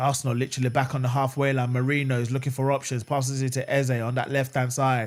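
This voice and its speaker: A man speaks with a London accent at a fairly quick pace and medium pitch. The recording is very clean, with a silent background. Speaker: football fan streamer. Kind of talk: live watch-along commentary. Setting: live stream. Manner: fast; animated.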